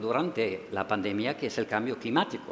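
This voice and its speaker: A man speaks with a German accent. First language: German (speaking Spanish). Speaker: EU official. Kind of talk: closing speech.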